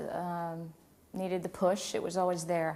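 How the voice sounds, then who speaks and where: The voice belongs to a woman. She speaks at a fairly quick pace. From Louisiana, Covington. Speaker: opera singer. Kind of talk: interview.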